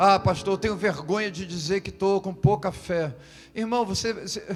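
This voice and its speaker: With music playing behind him, a high-pitched man talks at a moderate pace and shows ordinary pitch variation. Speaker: pastor. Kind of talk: sermon. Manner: soft-spoken.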